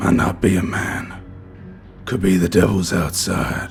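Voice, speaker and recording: Over clear background music, a man uses a put-on character voice that is raspy and very deep, with fairly even intonation. He speaks at a fairly slow pace. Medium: read story. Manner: harsh whispering.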